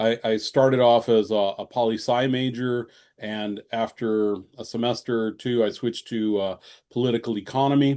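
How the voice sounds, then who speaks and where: A man's dark, mellow tone at medium pitch, with fairly even intonation, a moderate pace and a quiet background. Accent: Michigan. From Michigan. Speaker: economics professor. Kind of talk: casual conversation / interview.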